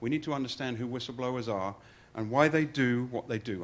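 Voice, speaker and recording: A man with an English accent at a medium pitch and ordinary pitch variation. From England. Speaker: fraud investigator. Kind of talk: presentation.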